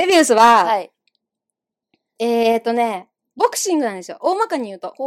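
A woman's fairly quick speech with very wide pitch swings and big swings in loudness, in a dry, close sound with no echo. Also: fairly high pitch for a woman. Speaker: actor and podcast co-host. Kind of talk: casual chat. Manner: fast.

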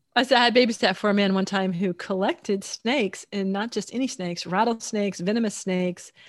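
In a quiet background, a woman with an American accent speaks in a plain, everyday voice at a medium pitch, a moderate pace and ordinary pitch variation. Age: 60s. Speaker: podcast co-host and romance author. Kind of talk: casual chat.

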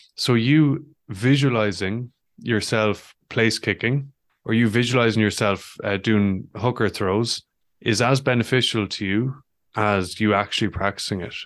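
Against a quiet background, a man with a western Irish accent talks at a fairly slow pace, using a medium pitch and ordinary pitch variation. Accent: Irish (west of Ireland). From west of Ireland, County Mayo. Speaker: former professional rugby player and author. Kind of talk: podcast interview.

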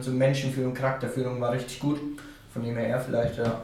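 Monotone, flat delivery in a Franconian accent, with audible room echo and noticeable background noise. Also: man. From Franconia, northern Bavaria. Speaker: football player. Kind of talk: interview. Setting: home recording room.

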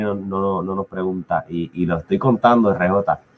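A man talking at a moderate pace. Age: 30s. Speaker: podcast co-host. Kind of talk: casual chat. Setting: live stream.

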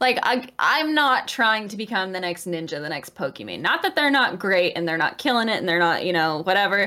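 A woman's animated, bright, sharp tone with very wide pitch swings, on a very clean recording with a silent background. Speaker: podcast host and Twitch streamer. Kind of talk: casual chat. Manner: excitable, chaotic, animated.

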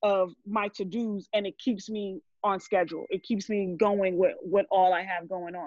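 A woman speaks with a New York accent at a medium pitch. Her intonation stays fairly even. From New Jersey, born in Brooklyn; Haitian family. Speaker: burger business owner, cook. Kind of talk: casual podcast interview.

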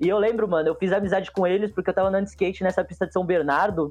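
A man speaks with ordinary pitch variation and a dark, mellow tone. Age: 20s. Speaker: comic artist and skateboarder. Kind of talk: casual chat.

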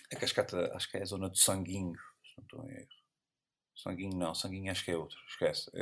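A man speaks very fast with big swings in loudness. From Azores, São Miguel (Lagoa). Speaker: photographer. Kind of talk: casual chat.

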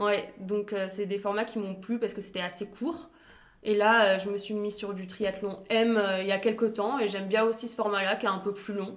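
Noticeable background noise accompanies a monotone, flat delivery at a moderate pace. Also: woman, medium pitch for a woman. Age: 20s. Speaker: sportswear brand founder. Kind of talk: interview. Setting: brand's new premises.

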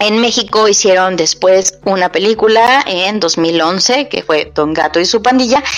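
There is noticeable background noise. Through it comes a woman's medium-pitched voice. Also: ordinary pitch variation, fairly slow pace. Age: middle-aged. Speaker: podcast host. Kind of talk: casual chat. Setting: at home. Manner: animated.

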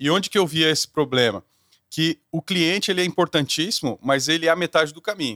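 A man talks at a fairly quick pace with lively intonation, an unremarkable speaking voice. The recording is very clean with a silent background, and the sound is dry and close with no echo. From Brazil. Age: 30s. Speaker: corporate executive and singer. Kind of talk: interview.

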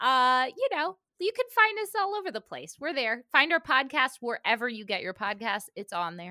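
Recorded very cleanly with a silent background and a dry, close sound with no echo, a woman speaks in a high, bright, sharp voice, raised and projected, with very wide pitch swings, big shifts in loudness and an animated tone. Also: moderate pace. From Cuban-American family. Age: 30s. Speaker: podcast host. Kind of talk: casual chat.

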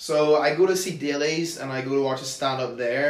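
Speaking at a moderate pace with a Northern Irish accent, a man is heard with audible room echo. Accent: Northern Irish (Tyrone). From Northern Ireland, County Tyrone. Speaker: comedian. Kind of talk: casual chat.

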